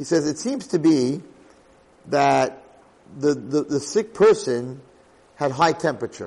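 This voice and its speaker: A man's fairly high-pitched voice. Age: 50s. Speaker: rabbi teaching a Torah class. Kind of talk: lecture.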